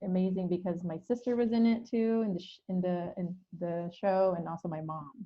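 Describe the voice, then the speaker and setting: With an American accent, a woman uses a plain, everyday voice at medium pitch, keeping a moderate pace and fairly even intonation. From Philippines, then Hayward, California from age ten. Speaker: theatre artistic director. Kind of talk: podcast interview. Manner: casual, with fillers and restarts.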